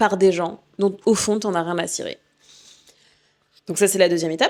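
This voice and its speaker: A woman speaks in an animated tone. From Martinique heritage, lives in Paris 15 years. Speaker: podcast host and coach. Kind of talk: casual podcast monologue. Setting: at home, recording podcast.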